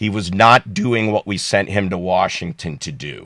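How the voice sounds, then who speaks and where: This man has a normal speaking voice, fairly low in pitch with ordinary pitch variation, and the sound is dry and close with no echo. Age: 60s. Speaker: political candidate. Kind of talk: candidate interview.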